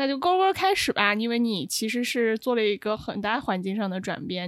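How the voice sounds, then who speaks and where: In a normal speaking voice, a woman talks at a fairly high pitch with lively intonation. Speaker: podcast co-host. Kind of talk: casual chat.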